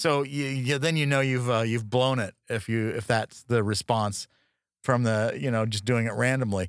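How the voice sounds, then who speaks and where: In a very clean recording with a silent background, a man speaks at medium pitch and a moderate pace. His tone is animated, his pitch variation ordinary, and the sound dry and close with no echo. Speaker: podcast co-host. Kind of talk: casual comedic banter. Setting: studio. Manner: animated, jokey.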